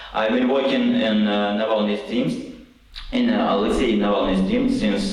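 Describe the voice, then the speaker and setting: Amid noticeable background noise and audible room echo, a man talks at a moderate pace with very even loudness. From Russian Far East, Khabarovsk. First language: Russian. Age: 30s. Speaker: political activist. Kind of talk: conference speech. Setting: conference hall with audience. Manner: halting.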